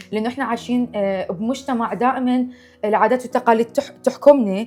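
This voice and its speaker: Over noticeable background noise, a woman with a Baghdad accent speaks at a high pitch. Her pace is moderate and her intonation fairly even. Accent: Baghdadi Iraqi Arabic. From Iraq, Baghdad. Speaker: cooking show host. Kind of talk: casual chat.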